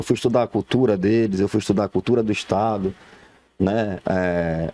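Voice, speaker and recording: A man speaks at a moderate pace with a fairly low, dark, mellow voice and fairly even intonation. The sound is dry and close, with no echo. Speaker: entrepreneur, former salaried employee. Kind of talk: TV talk show interview. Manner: halting, repeats words.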